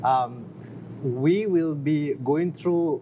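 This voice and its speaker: This man has a non-native accent and ordinary pitch variation. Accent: foreign. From outside the US. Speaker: business founder. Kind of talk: interview. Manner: halting.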